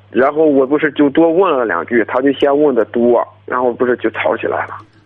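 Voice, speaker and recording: The speech runs at a fairly quick pace with ordinary pitch variation. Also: man. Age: 20s. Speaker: construction worker. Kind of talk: advice call-in. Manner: mumbling. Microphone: muffled, speakerphone.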